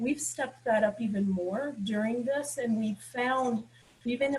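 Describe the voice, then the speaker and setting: Her voice carries a slight breathiness. This woman talks at a middling tempo. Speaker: university administrator. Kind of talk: panel discussion remarks. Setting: video call. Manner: many filler ums.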